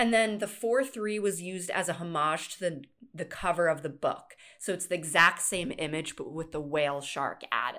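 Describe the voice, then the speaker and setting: With a bright, sharp tone and lively intonation, a woman with a fairly low pitch speaks at a moderate pace. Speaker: podcast host. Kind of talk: casual chat.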